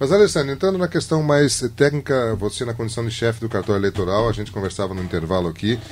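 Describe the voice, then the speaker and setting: A man's voice against noticeable background noise. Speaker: radio host. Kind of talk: radio interview.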